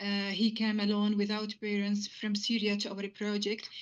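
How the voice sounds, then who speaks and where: A woman with an Arabic accent, medium pitch and monotone, flat intonation. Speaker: physiotherapist. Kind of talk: interview. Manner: fast; hesitant, many fillers.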